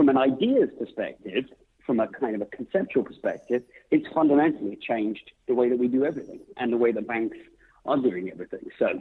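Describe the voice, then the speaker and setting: A man talks at a fairly quick pace. He has a British accent. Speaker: author and tech CEO. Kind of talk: podcast interview.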